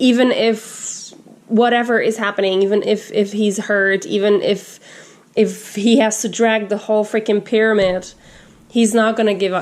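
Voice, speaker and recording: Speaking with a non-native accent, a woman with a fairly high pitch uses monotone, flat intonation and very even loudness at a fairly slow pace, leaving long, frequent pauses. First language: not English. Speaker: tarot reader. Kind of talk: tarot reading. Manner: halting.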